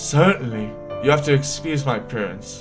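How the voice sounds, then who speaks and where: A put-on character voice at a moderate pace, with clear music in the background. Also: man, fairly high pitch for a man. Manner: put-on character voice, polite.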